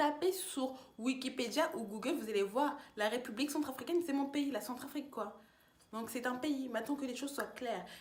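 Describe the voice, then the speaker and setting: A woman speaks in an animated tone at a high pitch with ordinary pitch variation. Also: moderate pace. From France, Tours. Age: 20s. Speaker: YouTuber, student. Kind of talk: casual vlog monologue.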